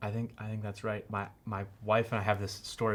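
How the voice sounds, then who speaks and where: Speaking at a moderate pace with an American accent, a man with a fairly low pitch comes through a very clean recording with a silent background. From Cambridge, Massachusetts area. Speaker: podcast host. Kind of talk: casual chat. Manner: halting, many repeated words.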